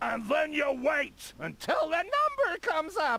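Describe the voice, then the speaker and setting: A put-on character voice, pitched high, moves along at a moderate pace. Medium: video game. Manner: curt, throat-clearing.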